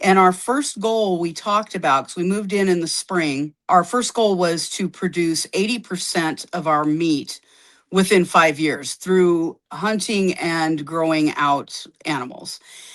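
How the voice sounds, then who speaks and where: An ordinary speaking voice, with hardly any pauses and ordinary pitch variation. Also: woman, fairly low pitch for a woman, quiet background. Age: 60s. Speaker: herbalist and homesteader. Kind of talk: podcast interview.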